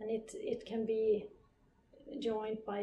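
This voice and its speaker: A woman speaks with a Swedish accent. Her pitch sits fairly high. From northern Sweden. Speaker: physiotherapist. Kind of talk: interview.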